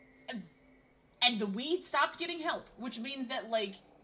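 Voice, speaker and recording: A woman speaks in a high, raised and projected voice with an animated tone. Her intonation is lively. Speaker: vtuber streamer. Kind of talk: casual gameplay stream chat. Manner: loud, ranting.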